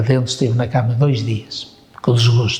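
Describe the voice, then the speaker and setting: Audible room echo and noticeable background noise around a man speaking. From northern Portugal, Paços de Ferreira. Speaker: war veteran. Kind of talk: oral history interview. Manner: halting.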